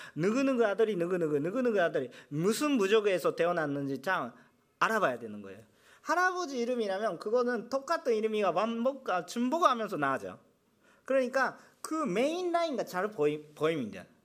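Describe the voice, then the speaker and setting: In a very clean recording with a silent background, a man speaks fairly quickly at a high pitch, his voice making very wide pitch swings. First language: Japanese (speaking Korean). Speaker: pastor. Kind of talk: sermon. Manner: halting.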